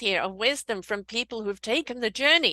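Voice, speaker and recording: A bright, sharp tone in a British accent, with a dry, close sound and no echo. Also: woman. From Britain. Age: 60s. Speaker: podcast host. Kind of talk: casual interview chat.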